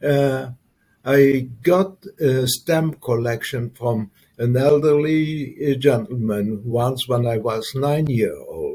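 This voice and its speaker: At a very slow pace, a man of medium pitch speaks in a dark, mellow tone that is somewhat breathy. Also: ordinary pitch variation. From Luxembourg. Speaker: entrepreneur and former military officer. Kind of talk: interview. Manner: halting, many fillers.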